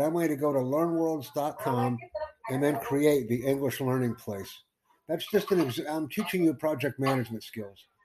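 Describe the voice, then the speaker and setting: Ordinary pitch variation marks this speech, which moves at a moderate pace. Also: man. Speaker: podcast host; English tutor.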